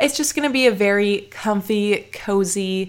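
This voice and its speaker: On a very clean recording with a silent background, a woman talks with ordinary pitch variation. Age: 20s. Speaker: podcast host and content creator. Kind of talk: solo casual chat. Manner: chatty, relaxed.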